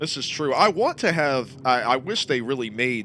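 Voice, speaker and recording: A man talks at a moderate pace. His pitch is medium for a man. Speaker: sim racing commentator. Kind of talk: live commentary. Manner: loud.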